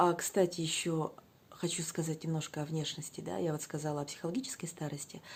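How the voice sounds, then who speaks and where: A woman speaks quietly in a very deep, low pitch, with vocal fry. Her pace is moderate and her intonation fairly even. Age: 40s. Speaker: weight-loss vlogger. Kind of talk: casual vlog monologue. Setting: at home, child sleeping nearby. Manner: quiet, subdued speech.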